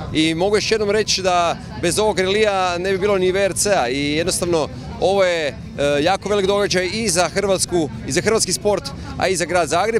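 Clear music plays behind a man speaking at a high pitch and moderate pace. His intonation is fairly even, his loudness very even, and the sound dry with no echo. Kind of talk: interview answer. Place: street. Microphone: handheld.

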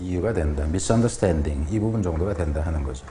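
The voice moves through very wide pitch swings over light background noise. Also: man. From South Korea. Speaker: English teacher. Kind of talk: lecture. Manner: casual. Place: studio.

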